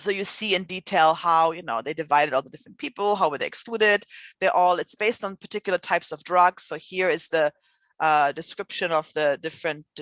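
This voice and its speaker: A woman with a non-native accent talks at a fairly quick pace, fairly low in pitch with ordinary pitch variation and big swings in loudness, in a dry, close sound with no echo and a quiet background. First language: not English. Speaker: scientific writing instructor. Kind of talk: lecture. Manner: conversational, with fillers.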